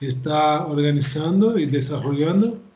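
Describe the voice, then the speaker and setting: With audible room echo, a man speaks fairly slowly at a fairly high pitch. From Brazil. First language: Portuguese (speaking Spanish). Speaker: professor. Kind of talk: lecture. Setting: video call. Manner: halting.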